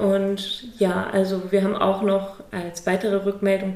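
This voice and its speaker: Noticeable background noise fills the recording, along with audible room echo. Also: woman. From northern Germany, near Lübeck. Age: 30s. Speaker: architect and charity project founder. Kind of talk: interview. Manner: hesitant with many fillers.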